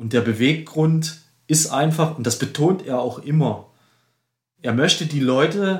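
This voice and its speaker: Somewhat breathy, a man speaks at a moderate pace. His pitch is fairly high, with ordinary variation. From eastern Germany, Dresden (Saxony). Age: 50s. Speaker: ultracyclist. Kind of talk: casual interview. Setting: studio, face to face.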